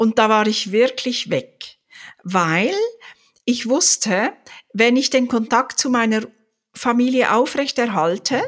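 In a very clean recording with a silent background, a woman with a fairly high pitch speaks very slowly with lively intonation. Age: 60s. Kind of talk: casual chat.

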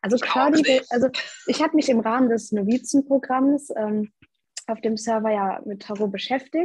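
A woman's high voice with ordinary pitch variation at a moderate pace, in a dry, close sound without echo. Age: young. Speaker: student and social media manager. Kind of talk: casual chat.

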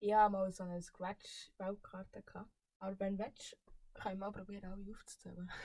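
A woman's dark, mellow, somewhat breathy voice at medium pitch, flat and monotone, at a moderate pace. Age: 20s. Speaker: podcast guest. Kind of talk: casual chat.

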